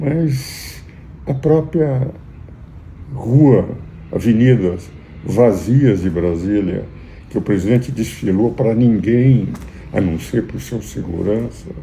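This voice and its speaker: The speech comes at a very slow pace with long, frequent pauses and lively intonation, set against noticeable background noise and audible room echo. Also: man, medium pitch for a man. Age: 80s+. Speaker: jurist and commentator. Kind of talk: political commentary. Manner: formal.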